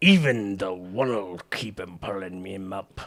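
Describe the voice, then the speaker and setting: Using a put-on character voice, a man speaks at a fairly low pitch and a fairly slow pace. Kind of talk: gruff, rough.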